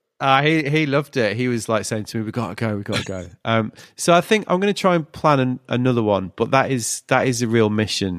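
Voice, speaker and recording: A man with a normal speaking voice talks at a fairly quick pace, with hardly any pauses, medium pitch and lively intonation. The recording is very clean with a silent background and a dry, close sound with no echo. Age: 40s. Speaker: podcast host. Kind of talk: casual chat.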